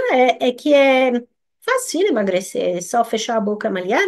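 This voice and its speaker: The speaker is a woman with a French accent and a high pitch. Her pitch swings very widely. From France. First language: French (speaking Portuguese). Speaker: nutritionist. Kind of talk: live stream talk. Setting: live stream. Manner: halting.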